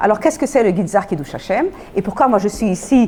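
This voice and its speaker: A woman with a non-native accent and a fairly high pitch. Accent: foreign accent in French. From Belgium, Antwerp. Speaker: Holocaust lecturer. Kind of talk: lecture. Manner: halting.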